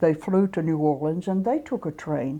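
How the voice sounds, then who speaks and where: In a Southern US accent, a woman with a very deep, low pitch and a dark, mellow tone speaks over a quiet background. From US South, South Georgia. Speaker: civil rights activist. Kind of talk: interview.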